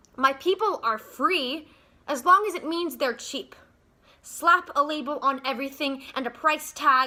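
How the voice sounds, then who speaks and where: Her raised, projected voice is high pitched with a bright, sharp tone and ordinary pitch variation as the woman speaks. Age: young. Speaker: spoken word poet. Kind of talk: spoken word poetry performance.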